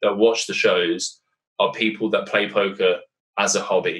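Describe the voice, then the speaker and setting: Speaking with an English accent, a man keeps a fairly quick pace. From Britain. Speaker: poker commentator and player. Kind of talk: casual interview chat. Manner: animated.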